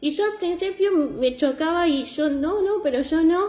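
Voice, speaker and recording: A woman speaks with an Argentine accent in a dark, mellow tone. Her pitch varies in an ordinary way. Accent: Argentine Spanish (Rioplatense). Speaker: church preacher. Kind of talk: sermon.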